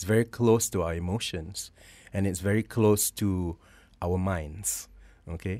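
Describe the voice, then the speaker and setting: A man with a very deep, low pitch and a dark, mellow tone speaks at a fairly slow pace. His pitch varies in an ordinary way, and he takes long, frequent pauses. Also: very clean recording, silent background. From Malaysia. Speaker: academic researcher and jazz saxophonist. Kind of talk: radio interview. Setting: radio studio.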